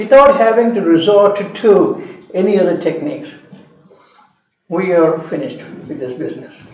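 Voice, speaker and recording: There is audible room echo as a man with a high pitch speaks at a fairly slow pace. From India, Madras (Chennai). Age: 80s+. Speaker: geology professor. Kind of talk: lecture.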